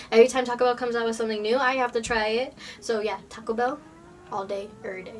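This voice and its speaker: Over noticeable background noise, a woman talks at a very fast pace with a fairly high pitch. Her intonation is monotone and flat, and her loudness swings widely. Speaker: vlogger. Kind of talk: casual vlog. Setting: bedroom. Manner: casual, filler-heavy.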